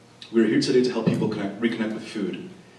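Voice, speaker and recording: A fairly low-pitched man at a very fast pace, with audible room echo and noticeable background noise. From Venezuela (Caracas), moved to US at nine. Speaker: Chinese medicine student, panelist. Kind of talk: prepared opening statement at a panel. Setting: event stage with audience, microphone. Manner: formal.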